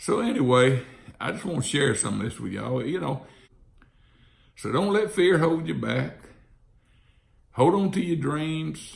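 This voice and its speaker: At a moderate pace, a man speaks with an Alabama accent. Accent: Southern US (Alabama). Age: 60s. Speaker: real estate investor. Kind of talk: casual monologue.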